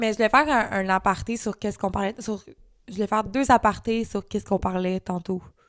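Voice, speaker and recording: A woman talks at a very fast pace in a medium pitch with fairly even intonation. The recording is very clean, with a silent background and a dry, close sound with no echo. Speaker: podcast co-host; self-employed worker. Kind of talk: casual chat.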